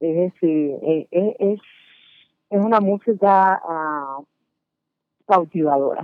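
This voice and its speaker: A woman with a fairly low voice and ordinary pitch variation speaks at a very slow pace with long, frequent pauses. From Cuba. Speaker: salsa singer. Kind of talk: radio interview. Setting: remote call-in.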